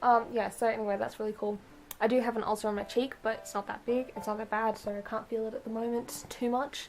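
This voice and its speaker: Amid noticeable background noise, a woman talks at a fairly quick pace with a fairly high pitch. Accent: strong Australian country. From outback Australia. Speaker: vlogger. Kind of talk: casual monologue vlog. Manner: fast; mumbled when fast.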